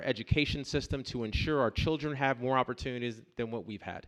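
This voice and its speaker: Over a quiet background, a man with an American accent speaks at a very fast pace. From US South, Columbus, Georgia. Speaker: political candidate. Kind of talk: campaign speech at forum.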